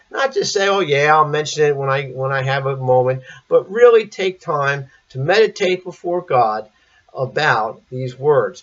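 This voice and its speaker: Speaking at a moderate pace, a man has an unremarkable speaking voice with fairly high pitch. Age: 60s. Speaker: priest. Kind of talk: sermon.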